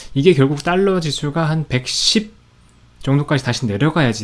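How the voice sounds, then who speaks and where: A man talks fairly quickly with lively intonation. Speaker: stock market commentator. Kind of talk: market commentary. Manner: conversational, with fillers.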